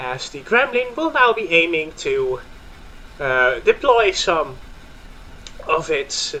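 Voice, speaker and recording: With a Dutch accent, a man speaks at a very slow pace, his pitch swinging very widely. Noticeable background noise sits behind him. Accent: Dutch accent, sounds a bit German. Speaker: gaming YouTuber and commentator. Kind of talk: live commentary. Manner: hesitant with fillers.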